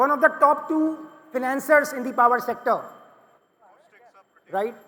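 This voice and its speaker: A man speaks at a moderate pace in a raised, projected voice, his extremely high pitch carrying a bright, sharp tone over fairly even intonation. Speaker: panel moderator, management consultant. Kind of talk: panel discussion moderation. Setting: conference stage with audience. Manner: loud.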